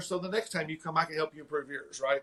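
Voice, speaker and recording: With a strong Tennessee accent, a man talks using ordinary pitch variation. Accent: thick Southern US (Tennessee). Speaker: martial arts school owner. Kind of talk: casual interview chat. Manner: fast.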